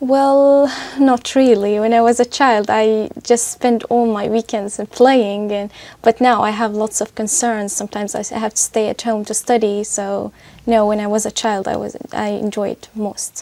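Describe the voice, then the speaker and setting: In a very clean recording with a silent background, a woman with an Arabic accent speaks at a moderate pace in a fairly high pitch, with a dark, mellow tone and fairly even intonation. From Syria. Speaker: test candidate. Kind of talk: speaking exam interview. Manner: halting.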